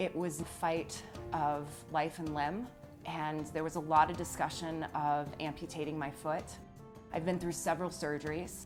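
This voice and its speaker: Music plays in the background as a woman speaks at a moderate pace. Her pitch is very deep and low, her intonation flat and monotone. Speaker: motivational speaker. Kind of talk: interview answer.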